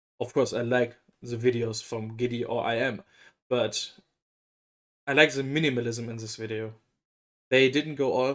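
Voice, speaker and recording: The recording is very clean with a silent background, and the speaker has a German accent and monotone, flat intonation. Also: man. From Germany. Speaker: K-pop reaction youtuber. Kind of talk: casual reaction commentary.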